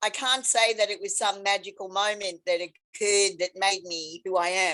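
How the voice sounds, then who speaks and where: This woman talks at a fairly slow pace and a medium pitch. Her pitch varies in an ordinary way. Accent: Australian. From Australia. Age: 70s. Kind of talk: interview storytelling.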